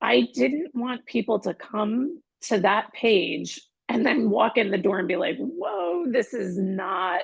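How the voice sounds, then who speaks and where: At a very slow pace with hardly any pauses, a woman speaks in a somewhat breathy voice with very wide pitch swings. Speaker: holistic wellness practitioner. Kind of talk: casual interview chat.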